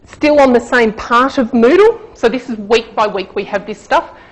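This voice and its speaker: A fairly high-pitched woman with ordinary pitch variation, over noticeable background noise. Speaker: university lecturer. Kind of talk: conference presentation. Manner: fast.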